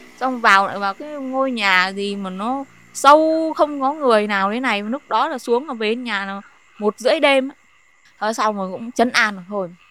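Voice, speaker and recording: Fairly slow delivery from a woman with a bright, sharp tone. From Vietnam, Hai Phong (northern). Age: 30s. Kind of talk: personal testimony.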